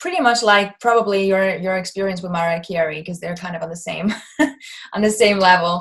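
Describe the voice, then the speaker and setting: A woman at a fairly quick pace and medium pitch. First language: German. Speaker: singer-songwriter. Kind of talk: interview.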